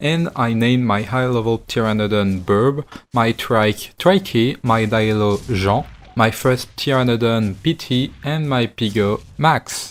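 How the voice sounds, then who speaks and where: A man with a French accent at a fairly slow pace. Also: medium pitch for a man, ordinary pitch variation. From France. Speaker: gaming YouTuber. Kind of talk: gameplay commentary narration.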